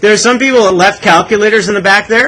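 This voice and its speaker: Raised and projected, a man's animated, high-pitched voice with a Canadian accent races at a very fast pace with ordinary pitch variation. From Canada. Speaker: math teacher. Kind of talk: classroom lecture. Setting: classroom. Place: classroom.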